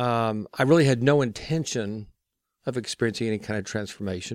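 A man with an ordinary speaking voice and an American accent, medium in pitch, at a fairly quick pace, in a very clean recording with a silent background. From Texas. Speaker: recovery ministry guest, recovering alcoholic. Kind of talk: interview on faith and twelve-step recovery.

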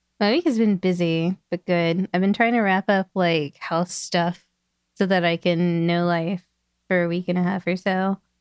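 A normal speaking voice moves at a moderate pace with fairly even intonation and very even loudness. The sound is dry and close with no echo. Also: woman, fairly low pitch for a woman. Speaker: podcast guest, game expert. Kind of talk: casual chat.

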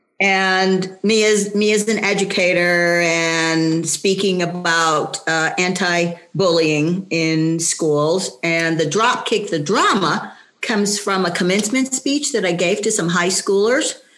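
Very slow, very even in loudness, a woman's medium-pitched voice with ordinary pitch variation and noticeable background noise. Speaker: senior track athlete. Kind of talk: casual chat.

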